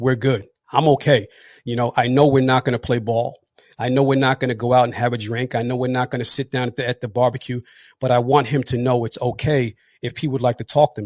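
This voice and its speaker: Speaking very fast in a flat monotone with a New Jersey accent, this voice sounds dry and close, with no echo. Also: man, medium pitch for a man. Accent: New Jersey American. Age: 40s. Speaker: retired police officer and motivational speaker. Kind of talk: interview testimony. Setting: live online podcast.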